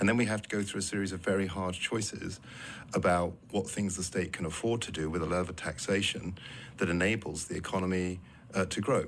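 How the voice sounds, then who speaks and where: A man with a British accent talks very fast in a very deep, low pitch with fairly even intonation. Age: 60s. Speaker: politician. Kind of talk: radio interview.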